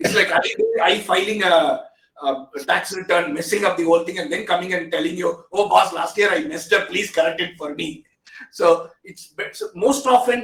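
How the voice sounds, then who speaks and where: In an Indian accent, a man talks at a fairly quick pace with lively intonation. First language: an Indian language. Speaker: technology expert. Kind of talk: interview discussion. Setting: video call.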